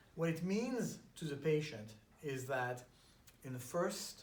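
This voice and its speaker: Audible room echo surrounds a man speaking with a French accent. His fairly high pitch moves with lively intonation. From France. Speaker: chiropractor. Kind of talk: casual interview.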